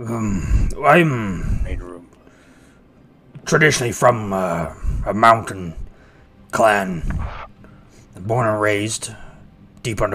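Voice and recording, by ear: A man puts on a gravelly character voice at a fairly low pitch. He talks at a very slow pace with long, frequent pauses.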